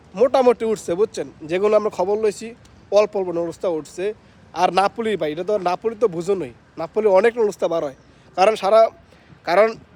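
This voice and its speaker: A man with a high pitch and ordinary pitch variation is heard in a dry, close sound with no echo. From Bangladesh, Comilla. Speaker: migrant worker vlogger. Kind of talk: casual vlog.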